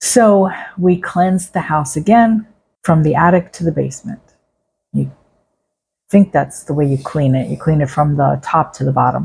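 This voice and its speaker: A woman with a very deep, low pitch and vocal fry speaks at a moderate pace with ordinary pitch variation and long, frequent pauses. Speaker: psychic medium storyteller. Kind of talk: personal storytelling monologue. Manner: conversational.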